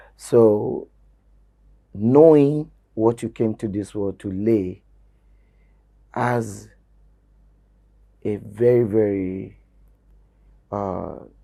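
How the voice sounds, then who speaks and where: With a dark, mellow tone and fairly low pitch, a man speaks at a very slow pace with ordinary pitch variation and long, frequent pauses. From Nigeria, Ondo State (Yoruba). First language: Yoruba. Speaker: Yoruba language promoter, game show host. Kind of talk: interview. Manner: hesitant with fillers.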